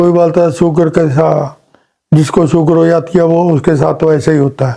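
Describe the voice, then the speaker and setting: Monotone, flat delivery at a moderate pace in a Punjabi accent. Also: man, fairly high pitch for a man. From Punjab, India. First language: Punjabi (speaking Hindi). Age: 70s. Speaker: patient, retired electrical engineer. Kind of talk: testimony.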